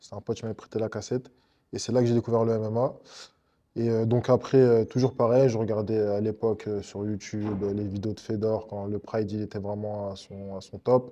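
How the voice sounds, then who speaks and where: Fairly quick, monotone male speech, dark and mellow in tone, fairly low in pitch, against a quiet background. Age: 30s. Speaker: MMA fighter. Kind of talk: interview. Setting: MMA club dojo. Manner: hesitant, many fillers.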